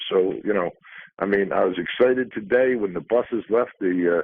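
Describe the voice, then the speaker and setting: Ordinary pitch variation at a moderate pace. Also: man. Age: 60s. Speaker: union leader. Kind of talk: radio interview. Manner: halting, many repeated words.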